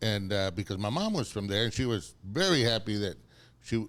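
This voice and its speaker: Speaking in a South Texas accent, a man talks at a moderate pace with a fairly low pitch and ordinary pitch variation. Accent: South Texas Mexican-American English. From South Texas (Rio Grande Valley). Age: 60s. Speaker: city commissioner. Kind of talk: casual chat. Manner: halting, repeating words.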